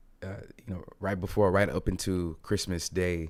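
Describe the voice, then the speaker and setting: A man's very deep, low pitch in a flat monotone, at a moderate pace, in a very clean recording with a silent background. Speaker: stock trading streamer. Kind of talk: live market commentary. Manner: many fillers, halting.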